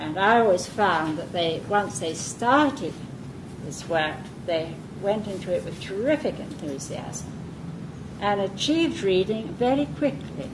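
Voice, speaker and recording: Her voice sits at a medium pitch with very wide pitch swings, and this woman speaks at a fairly slow pace. Noticeable background noise and audible room echo fill the recording. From southern England. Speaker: early-years reading educator. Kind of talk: lecture.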